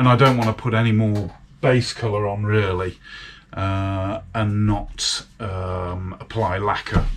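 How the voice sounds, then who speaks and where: A man talks with a British accent. His somewhat breathy voice is fairly low in pitch. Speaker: motorcycle restoration hobbyist. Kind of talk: casual workshop vlog. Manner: chatty with fillers.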